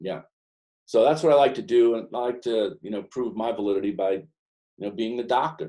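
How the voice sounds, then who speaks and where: A man with an American accent, medium pitch, dark, mellow tone, lively intonation and fairly quick pace. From New York / New Jersey. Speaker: business coach. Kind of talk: professional group discussion. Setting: conference call.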